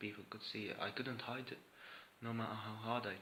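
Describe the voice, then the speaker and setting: A soft-spoken man talks fairly quickly in a fairly low, monotone, flat voice. Noticeable background noise sits behind him. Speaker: vlogger sharing personal experience. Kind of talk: personal monologue vlog. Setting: indoors, room at home with camera. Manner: soft-spoken, voice kept low.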